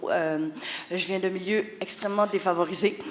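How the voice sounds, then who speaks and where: Fairly slow speech amid noticeable background noise. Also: woman. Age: 40s. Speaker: author. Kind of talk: conference talk, personal testimony. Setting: conference hall with audience. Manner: hesitant, many fillers and repetitions.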